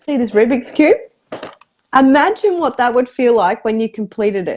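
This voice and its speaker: Moderately paced and high in pitch, a woman's voice carries lively intonation. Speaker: personal development coach, spouse of a cancer patient. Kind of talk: casual interview answer, candid and emotional.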